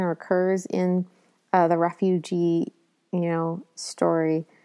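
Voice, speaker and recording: A woman speaks at a very slow pace in a fairly low, dark, mellow voice. The sound is dry and close with no echo, and the recording is very clean with a silent background. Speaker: podcast host. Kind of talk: casual chat.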